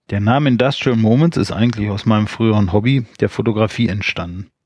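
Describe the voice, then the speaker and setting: Here is a man with a plain, everyday voice, fairly low in pitch. He moves at a fairly quick pace with fairly even intonation, in a dry, close sound with no echo. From Rhineland, Germany. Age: 40s. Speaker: podcaster. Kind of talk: solo podcast intro monologue.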